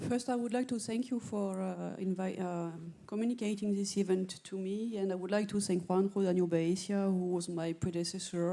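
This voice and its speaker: A woman's dark, mellow voice at medium pitch, with fairly even intonation and a moderate pace. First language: not English. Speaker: director of a marine research infrastructure. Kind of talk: audience comment at a conference.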